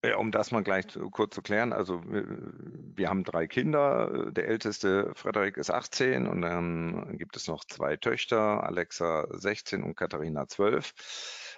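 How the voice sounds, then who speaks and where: Against a quiet background, a man with a fairly low pitch and vocal fry speaks at a very slow pace with lively intonation. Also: hardly any pauses. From Germany, Kassel (Hesse). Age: 50s. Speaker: art auction house executive. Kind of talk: interview. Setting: remote call. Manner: hesitant with fillers.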